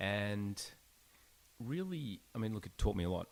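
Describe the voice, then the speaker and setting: A man in an Australian accent talks at a moderate pace. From Australia, Melbourne. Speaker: startup founder. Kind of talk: podcast interview.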